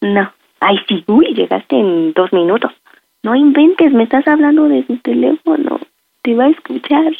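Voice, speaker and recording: A woman's high voice with very wide pitch swings. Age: 30s. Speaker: prank call target. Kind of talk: phone conversation.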